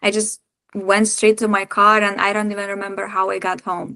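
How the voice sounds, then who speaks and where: Against a quiet background, a woman with a Lithuanian accent and a medium pitch speaks at a fairly quick pace. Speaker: breathwork practitioner and women's circle facilitator. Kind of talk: podcast interview.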